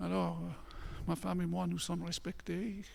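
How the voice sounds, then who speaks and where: The man speaks at a fairly slow pace. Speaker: pastor. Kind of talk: sermon.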